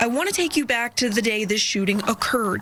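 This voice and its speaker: Noticeable background noise accompanies a woman with an American accent. She speaks at a fairly quick pace with ordinary pitch variation. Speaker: television news reporter. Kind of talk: TV news reporting, on-location report.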